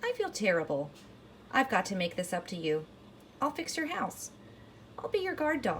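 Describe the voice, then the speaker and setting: A woman uses a put-on character voice at medium pitch and moderate pace, with long, frequent pauses and clear background noise. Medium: read story. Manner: cheerful, chatty.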